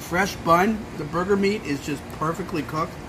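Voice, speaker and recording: A man's high-pitched voice at a fairly slow pace, with ordinary pitch variation and noticeable background noise. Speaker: food reviewer vlogger. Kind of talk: casual vlog chat. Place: cafe. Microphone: phone near.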